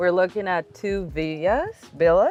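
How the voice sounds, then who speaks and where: Against a quiet background, a woman with a Spanish accent talks at a moderate pace. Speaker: realtor. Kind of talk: property tour.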